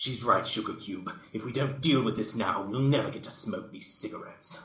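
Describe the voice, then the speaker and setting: A man puts on a growling character voice at a medium pitch. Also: fairly quick pace. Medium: read story. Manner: folksy, blunt.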